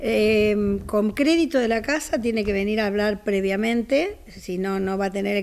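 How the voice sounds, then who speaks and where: A woman's fairly high voice, very slow, with ordinary pitch variation. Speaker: co-owner of the auction house. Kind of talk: promotional interview. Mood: calm, informative. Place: home room. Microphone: handheld.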